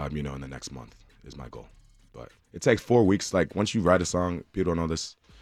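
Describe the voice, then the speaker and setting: A man talks with an American accent in a very deep, low voice, over music in the background. His pace is very fast and his intonation lively. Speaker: singer. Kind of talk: radio interview; station ID and song intro. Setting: radio studio.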